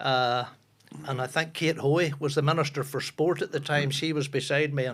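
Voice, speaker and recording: Monotone, flat intonation marks this man's fairly high voice, delivered in a strong Northern Irish accent. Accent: strong North Antrim Ulster Scots. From Northern Ireland, Ballymoney, North Antrim. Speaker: football broadcaster and former footballer. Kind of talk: casual chat.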